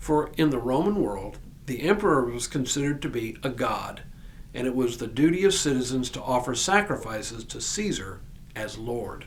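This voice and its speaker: Over noticeable background noise, a man with an American accent speaks at a moderate pace and a medium pitch. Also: lively intonation. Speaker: pastor. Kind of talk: devotional sermon.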